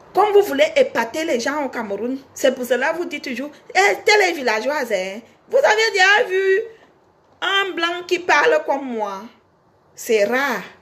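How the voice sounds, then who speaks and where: Speaking fairly slowly, a woman with a high voice makes very wide pitch swings and big swings in loudness. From Cameroon. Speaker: singer and online personality. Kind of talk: casual monologue to fans. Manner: animated.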